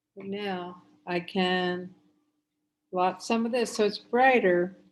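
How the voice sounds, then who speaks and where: A woman talks with a New Jersey accent. Her pace is very slow. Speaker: watercolor artist and art teacher. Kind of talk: painting tutorial demo.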